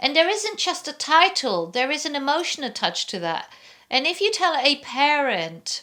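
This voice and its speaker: On a very clean recording with a silent background, a woman with a non-native accent projects a raised, high-pitched voice, bright and sharp, with very wide pitch swings. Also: moderate pace. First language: not English. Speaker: vlogger. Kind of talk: casual chat.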